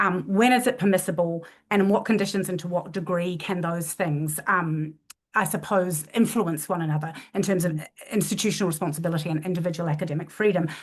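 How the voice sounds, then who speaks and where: Fairly quick and somewhat breathy, the delivery keeps a fairly even intonation. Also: woman, fairly low pitch for a woman. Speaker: university leader. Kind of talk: panel discussion. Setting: online event. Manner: fast; halting, many false starts.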